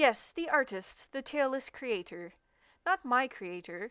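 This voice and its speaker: A woman uses a put-on character voice with a high pitch, speaking at a fairly slow pace. The recording is very clean, with a silent background. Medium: game stream. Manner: slow, calm.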